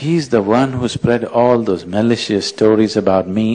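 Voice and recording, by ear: Someone is reading aloud in a natural voice. The pitch shows ordinary variation.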